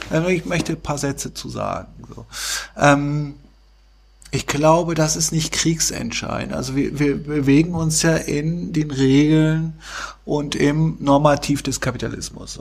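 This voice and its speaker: Breathing somewhat breathily, a man talks at a fairly slow pace with a fairly high pitch and fairly even intonation. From Hesse, Vogelsbergkreis. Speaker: NGO director. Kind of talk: casual chat.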